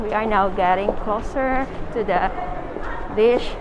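There is noticeable background noise behind a woman speaking with ordinary pitch variation. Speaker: travel vlogger. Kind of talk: casual vlog chat. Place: shop. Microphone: phone near.

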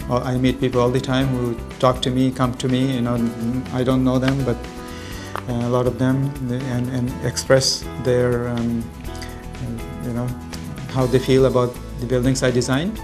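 Against clear music in the background, a man talks at a moderate pace in a monotone, flat intonation, with long, frequent pauses. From Bangladesh. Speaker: architect. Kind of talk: interview answer. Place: office.

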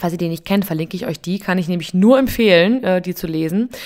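With an unremarkable speaking voice, a woman talks at a fairly quick pace with ordinary pitch variation in a very clean recording with a silent background. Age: 30s. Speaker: podcast host and coffee machine seller. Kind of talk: casual solo podcast monologue. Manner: informal, chatty with fillers.

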